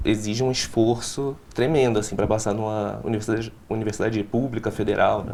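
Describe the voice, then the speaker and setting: This is a man speaking. His pace is moderate. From Recife, Pernambuco, Brazil. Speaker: law student. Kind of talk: interview. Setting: studio.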